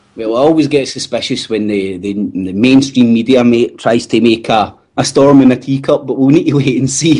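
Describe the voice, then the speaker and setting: A man with a Glaswegian accent speaks at a moderate pace and medium pitch, barely pausing. His tone is dark and mellow, and his pitch varies in an ordinary way. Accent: Glaswegian Scottish. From Scotland, Glasgow. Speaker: podcast co-host. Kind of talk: casual chat.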